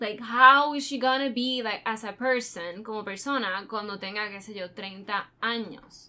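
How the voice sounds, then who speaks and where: A woman speaks at a fairly slow pace with hardly any pauses, her voice fairly high with a bright, sharp tone. Her pitch varies in an ordinary way, while her loudness swings widely. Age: 20s. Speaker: true crime podcast co-host. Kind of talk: casual chat.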